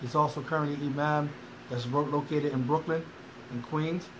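Over noticeable background noise, a man with a fairly high pitch speaks at a fairly quick pace. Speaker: podcast host. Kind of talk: interview. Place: classroom. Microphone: phone near.

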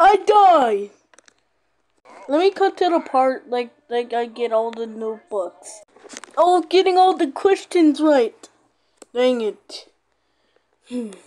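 A female-sounding voice puts on a character voice at a high pitch. The pace is fairly slow, with long, frequent pauses. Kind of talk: gaming commentary. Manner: excitable.

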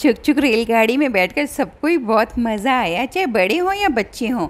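At a moderate pace, a woman speaks with a fairly high pitch and big pitch swings.

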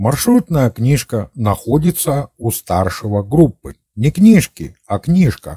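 A man with a dark, mellow tone and medium pitch speaks at a very slow pace, somewhat breathy, with very wide pitch swings in a dry, close sound with no echo. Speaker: amateur history video narrator. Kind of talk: scripted narration. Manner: formal.

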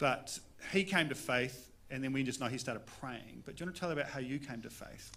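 With a bright, sharp tone, a man talks at a fairly quick pace, showing ordinary pitch variation and big swings in loudness. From New Zealand. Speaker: pastor. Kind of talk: interview during church service. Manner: casual, playful. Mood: warm, relaxed. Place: church. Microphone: handheld.

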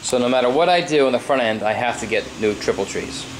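A fairly quick pace with ordinary pitch variation and light background noise. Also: man. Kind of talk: casual project update narration. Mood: mildly frustrated. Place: garage. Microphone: phone near.

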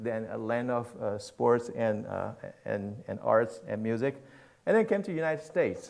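Against a quiet background, the speaker moves at a fairly quick pace. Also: man. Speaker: pastor speaking at missions conference. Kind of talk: sermon. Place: church.

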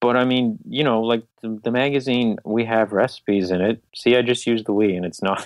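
A man speaks in a normal speaking voice at medium pitch. His pace is fairly quick and his intonation fairly even. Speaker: vegan magazine publisher. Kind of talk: interview. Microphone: iPhone earbud mic.

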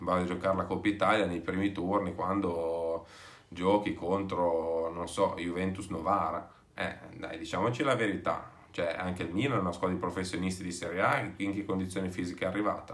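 Fairly quick and fairly even in intonation, a man talks. His pitch is very deep and low. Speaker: football fan video commentator; football fan vlogger. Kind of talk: casual vlog commentary. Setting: away from home. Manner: speaking softly; hesitant, many fillers. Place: home room. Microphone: phone near.

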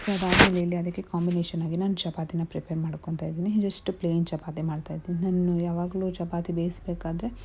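A woman with a fairly low pitch, over noticeable background noise. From Mysuru, Karnataka, India. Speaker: cooking and lifestyle vlogger. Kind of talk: vlog narration and cooking tutorial. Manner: animated.

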